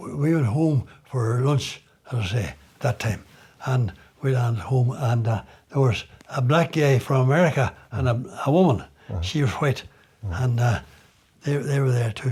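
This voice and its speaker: A man talks at a medium pitch and moderate pace, somewhat breathy, with ordinary pitch variation. Long pauses come often. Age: 80s+. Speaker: retired builder. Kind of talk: interview answer.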